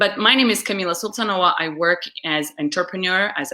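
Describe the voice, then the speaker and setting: A woman's fairly low voice with a bright, sharp tone and ordinary pitch variation. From Uzbekistan. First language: Russian. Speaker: public speaker and webcast host. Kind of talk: live webcast interview. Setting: live video stream.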